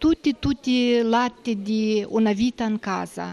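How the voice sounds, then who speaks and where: A woman with a fairly high pitch talks at a very slow pace. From Moldova. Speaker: home caregiver. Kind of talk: interview. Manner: halting. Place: office. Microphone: handheld.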